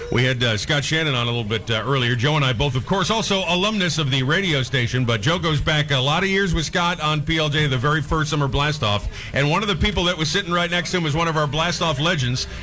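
A man's fairly high voice at a very fast pace, with lively intonation, very even loudness, hardly any pauses and noticeable background noise. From Rhode Island. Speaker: morning radio show host. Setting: live remote broadcast from a bar. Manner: enthusiastic, upbeat.

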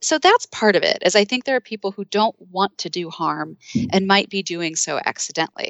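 With a plain, everyday voice, a woman speaks at a medium pitch and a fairly quick pace, with hardly any pauses and ordinary pitch variation. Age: 40s. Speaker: psychology professor and author. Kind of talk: interview.

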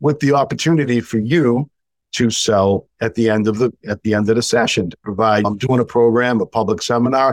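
In a plain, everyday voice, a man with an American accent talks fairly quickly at a medium pitch, with ordinary pitch variation, very even loudness and a dry, close sound with no echo. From New England, US. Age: 60s. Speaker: sales and marketing coach. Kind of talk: casual interview conversation.

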